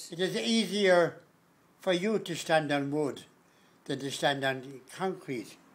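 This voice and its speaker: This man speaks in a Galway accent at a fairly high pitch. His pace is very slow, broken by long, frequent pauses. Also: ordinary pitch variation. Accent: Irish, Galway. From Galway, Ireland. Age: 80s+. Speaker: blacksmith. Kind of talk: interview answer.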